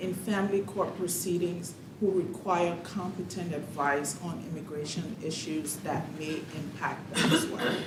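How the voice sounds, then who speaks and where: There is noticeable background noise and audible room echo. A woman speaks at a fairly slow pace with fairly even intonation. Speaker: director of a county legal agency. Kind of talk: formal presentation at budget hearing. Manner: formal.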